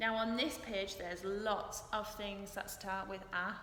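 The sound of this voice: A woman speaks at a slow pace with a bright, sharp tone. Audible room echo is present.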